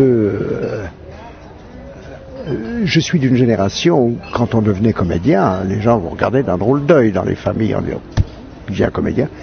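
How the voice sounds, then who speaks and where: With music in the background, a man speaks at a moderate pace with lively intonation in a dry sound with no echo. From Switzerland. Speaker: actor and comedian. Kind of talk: interview answer. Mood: reflective, wry. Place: garden. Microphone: handheld.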